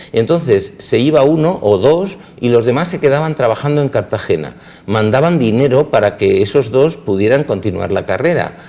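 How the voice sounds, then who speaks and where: A dark, mellow tone with vocal fry and lively intonation. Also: man, fairly high pitch for a man, moderate pace. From Spain, Elche (Valencian Community). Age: 60s. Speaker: dentist. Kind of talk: interview. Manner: halting, with repetitions.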